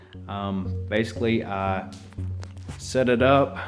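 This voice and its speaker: With music in the background, a man with an Alabama accent speaks at a very slow pace, his fairly low pitch showing ordinary variation. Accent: Southern US, Alabama. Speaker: actor. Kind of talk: casual tutorial talk to camera.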